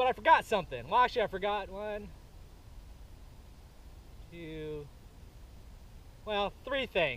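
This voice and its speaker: Recorded dry with no echo, a man with a high pitch speaks at a moderate pace. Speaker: outdoor vlogger. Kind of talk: casual vlog chat. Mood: relaxed, laughing. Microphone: camera far.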